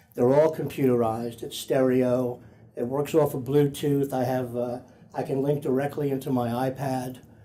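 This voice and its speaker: A man speaks at a moderate pace in a medium pitch. His tone is dark and mellow, his intonation fairly even. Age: 70s. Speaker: patient. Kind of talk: testimonial interview. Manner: halting.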